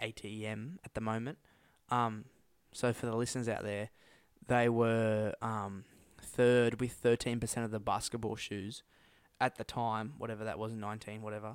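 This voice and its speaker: A man with an Australian accent speaks at medium pitch and a moderate pace, his intonation flat and monotone. The recording is very clean, the background silent. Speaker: podcast co-host. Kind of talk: casual chat.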